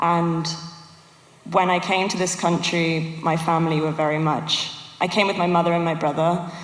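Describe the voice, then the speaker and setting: A speaker with a British accent talks at a moderate pace over noticeable background noise. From England (raised in UK from age 4, born in Yugoslavia). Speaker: panelist, former refugee. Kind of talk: panel discussion.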